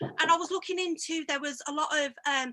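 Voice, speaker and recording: A woman with a Coventry accent projects a raised voice at an extremely high pitch with a bright, sharp tone. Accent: Coventry Midlands. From English Midlands, Coventry. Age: 30s. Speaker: barber. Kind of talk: casual chat. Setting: video call.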